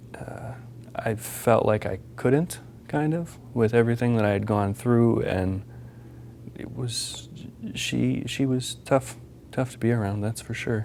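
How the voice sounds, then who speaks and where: With an American accent, a man talks at a fairly slow pace with long, frequent pauses against noticeable background noise. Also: medium pitch for a man, ordinary pitch variation. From US Midwest, Minnesota. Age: 20s. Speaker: abuse survivor, college student. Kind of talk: interview testimony. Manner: hesitant, many fillers.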